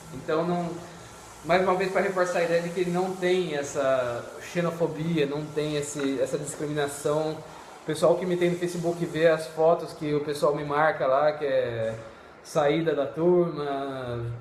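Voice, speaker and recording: Fairly even intonation at a fairly slow pace, with noticeable background noise and audible room echo. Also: man, fairly high pitch for a man. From Brazil. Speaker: medical student. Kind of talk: casual chat. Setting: live video call.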